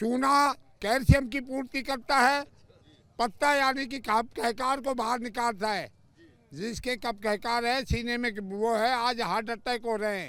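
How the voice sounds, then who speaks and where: A man speaks in a raised, projected voice at an extremely high pitch, with a bright, sharp tone. His intonation is fairly even, and the recording is very clean against a silent background. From Rajasthan, India. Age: 70s. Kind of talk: interview.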